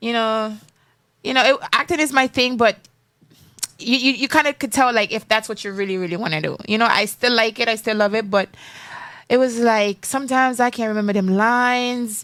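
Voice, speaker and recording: A woman with a strong Jamaican accent, fairly high-pitched, with ordinary pitch variation, at a fairly quick pace. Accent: strong Jamaican patois. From Jamaica, raised in Florida. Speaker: singer and actress, former pageant contestant. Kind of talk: interview. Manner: casual.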